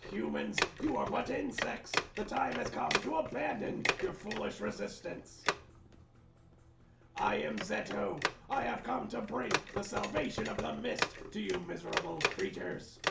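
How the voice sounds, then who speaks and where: Loud background noise sits under a put-on character voice delivered at a moderate pace. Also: man. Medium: game stream. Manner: contemptuous, grandiose, menacing.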